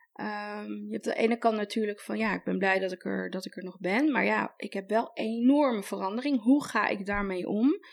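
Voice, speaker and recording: A woman talks with ordinary pitch variation in a normal speaking voice. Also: medium pitch for a woman, moderate pace, hardly any pauses. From Netherlands (adopted from Colombia as a child). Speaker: style coach. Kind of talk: advice podcast interview.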